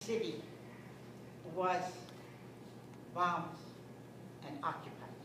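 Amid audible room echo and noticeable background noise, a woman with a fairly low voice speaks fairly slowly with ordinary pitch variation and long, frequent pauses. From Rotterdam, Netherlands. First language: Dutch. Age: 80s+. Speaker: war survivor. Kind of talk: personal testimony at a school event. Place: hall. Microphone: camera far.

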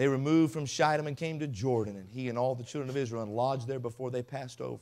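With a passionate tone, a man talks at a very fast pace using ordinary pitch variation. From Mississippi. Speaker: pastor, guest preacher. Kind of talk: sermon, preaching. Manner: passionate, emphatic, call-and-response. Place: tent. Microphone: podium.

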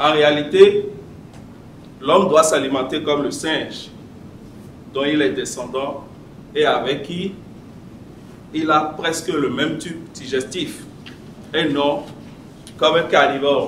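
A man's voice at a very slow pace, fairly even in intonation, with long, frequent pauses, light background noise and audible room echo. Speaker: public speaking club member; speaker. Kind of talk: prepared speech. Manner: read from notes. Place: meeting room. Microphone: podium.

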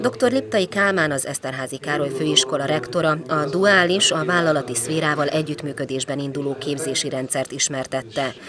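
Fairly quick speech with hardly any pauses, over noticeable background noise. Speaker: news reporter. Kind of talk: news reading.

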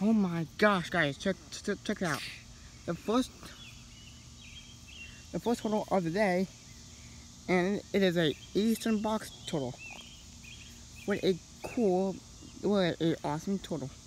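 The speech comes at a fairly slow pace with long, frequent pauses. The sound is dry with no echo, over light background noise. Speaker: amateur reptile vlogger. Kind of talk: excited casual vlog chat. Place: street. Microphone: phone near.

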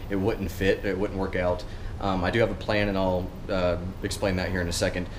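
A man's fairly low-pitched voice over light background noise. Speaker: car vlogger. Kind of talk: casual vlog chat. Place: garage. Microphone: phone near.

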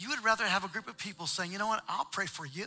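Faint music plays behind a man speaking in a raised, projected voice with ordinary pitch variation. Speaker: church pastor making announcements. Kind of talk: church announcements to congregation. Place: church.

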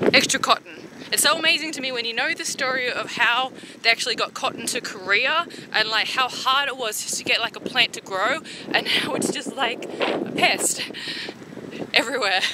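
A woman is speaking. There is noticeable background noise, with a dry sound and no echo. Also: ordinary pitch variation, moderate pace. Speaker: vlogger. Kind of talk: casual vlog chat. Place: bicycle. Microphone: phone near.

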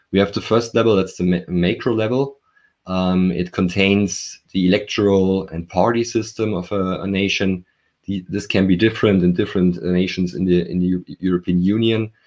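Over a quiet background, a man with a very deep, low pitch speaks at a moderate pace with a German accent and fairly even intonation. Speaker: professor. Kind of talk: interview. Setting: video call from home. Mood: calm, explanatory. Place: home room. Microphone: video call.

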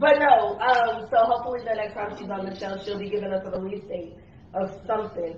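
Speaking at a fairly quick pace, a woman uses a fairly high pitch with ordinary pitch variation and big swings in loudness. Audible room echo and light background noise are present. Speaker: podcast host. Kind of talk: casual chat. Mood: joking rant. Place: home room.

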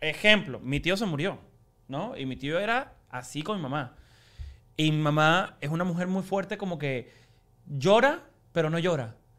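Against a quiet background, a man with a high pitch speaks at a fairly slow pace with lively intonation and long, frequent pauses. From Cuba. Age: 20s. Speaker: TV host and actor; TV host, actor. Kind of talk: casual chat. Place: studio. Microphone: studio mic.

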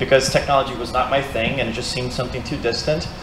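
A man speaks with a Brazilian accent. There is audible room echo and light background noise. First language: Portuguese. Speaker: mixed reality content creator. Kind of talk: presentation talk. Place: meeting room. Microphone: handheld.

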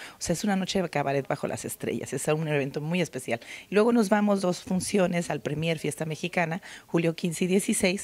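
With a fairly low pitch and ordinary pitch variation, a woman talks at a fairly quick pace. The sound is dry, with no echo. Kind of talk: interview answer. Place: hall. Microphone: handheld.

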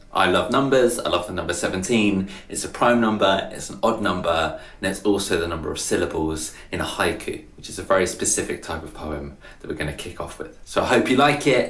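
Lively intonation marks this man's fairly low-pitched voice, heard with audible room echo. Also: fairly quick pace, big swings in loudness. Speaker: poet. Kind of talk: casual talk to camera. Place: home room. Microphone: webcam.

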